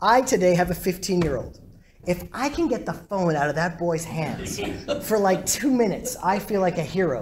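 Speech runs at a moderate pace with light background noise. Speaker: rabbi giving a talk. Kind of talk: lecture. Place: hall.

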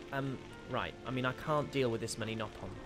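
A man with clear music in the background. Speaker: voice actor, live streamer. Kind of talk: casual live stream chat with viewers. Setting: live stream, gaming. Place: home room. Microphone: headset.

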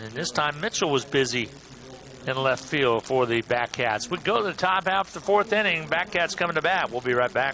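This man's pitch is fairly high. His intonation is lively. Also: fairly quick pace. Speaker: baseball play-by-play announcer. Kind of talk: live baseball play-by-play commentary. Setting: ballpark broadcast booth. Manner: brisk, fluent, energetic play-by-play delivery.

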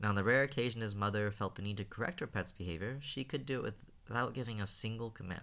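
The reading voice here is unforced.

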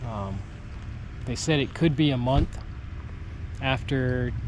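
Over noticeable background noise, a man speaks in a dry sound with no echo. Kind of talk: casual vlog chat. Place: boat. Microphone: phone near.

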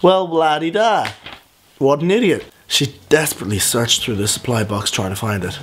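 A man talks at an average speed. Music plays softly behind him. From Ireland. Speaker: vlogger. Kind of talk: reading own story aloud with comic asides. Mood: playful, mock-dramatic. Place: home room. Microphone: phone near.

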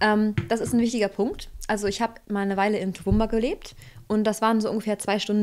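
Speaking at a fairly quick pace, a woman has an unremarkable speaking voice at a medium pitch. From rural Germany. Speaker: emigrant, co-host; co-host. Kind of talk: casual discussion. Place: home room. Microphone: studio mic.

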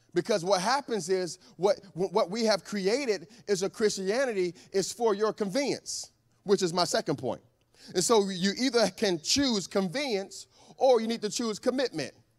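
This man talks at a moderate pace in a high voice with ordinary pitch variation. The background is quiet. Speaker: preacher. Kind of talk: sermon. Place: church. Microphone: handheld.

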